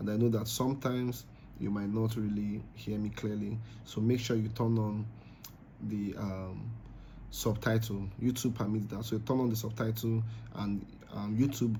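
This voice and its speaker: A man with a Nigerian accent speaks at a fairly low pitch in a flat monotone. Long, frequent pauses and audible room echo mark the recording. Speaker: crypto trading youtuber. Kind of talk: trading tutorial. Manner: fast; casual with fillers.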